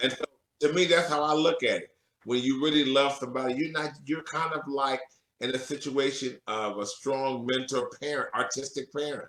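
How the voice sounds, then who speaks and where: With fairly even intonation, an ordinary speaking voice proceeds at a moderate pace. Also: man, fairly high pitch for a man. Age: 50s. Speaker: professor and church musician. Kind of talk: interview. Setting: radio show.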